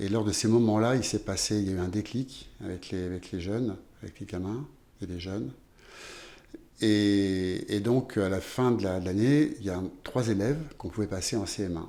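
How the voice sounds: With a dark, mellow tone and a fairly low pitch, a man speaks at a moderate pace with ordinary pitch variation.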